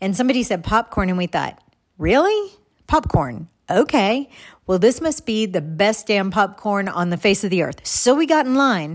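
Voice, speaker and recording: In a very clean recording with a silent background, a woman with an American accent speaks at a moderate pace using very wide pitch swings. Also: medium pitch for a woman. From Texas. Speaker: podcast host. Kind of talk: reflective personal monologue.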